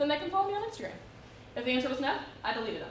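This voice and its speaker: With an American accent and very wide pitch swings, a woman speaks over noticeable background noise and audible room echo. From West Virginia, small northern town. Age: 30s. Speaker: guest speaker. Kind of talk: Q&A answer at a talk. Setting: talk to students in a library.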